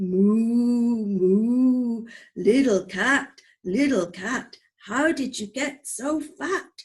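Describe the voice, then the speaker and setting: In a put-on character voice, a woman speaks at a fairly high pitch. Her pace is very slow. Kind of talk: bedtime story. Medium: read story.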